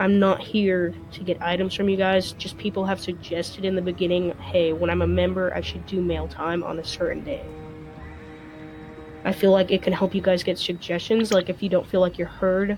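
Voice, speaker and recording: Over background music, a woman speaks at a moderate pace in a flat monotone with a fairly low pitch. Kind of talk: casual talk to camera.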